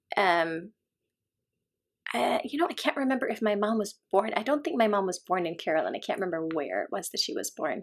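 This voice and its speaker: A woman with a General American accent speaks at a fairly quick pace, her pitch swinging very widely. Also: medium pitch for a woman. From United States (Illinois, then Southern California). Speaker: podcast host and yoga teacher. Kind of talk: personal storytelling in conversation. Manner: hesitant, many fillers.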